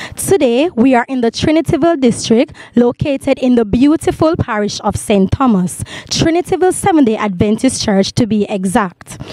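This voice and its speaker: Against noticeable background noise, a woman's high voice makes very wide pitch swings in a dry, close sound with no echo. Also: moderate pace. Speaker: TV program host. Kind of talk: TV show introduction to camera.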